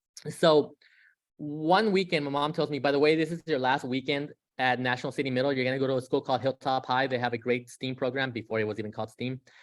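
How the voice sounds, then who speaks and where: A man with a Spanish accent, medium pitch and ordinary pitch variation, talking at a very fast pace against a quiet background. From San Diego area, US (Mexican-born). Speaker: guest speaker on undocumented students. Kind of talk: presentation with personal story. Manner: many fillers (um, uh).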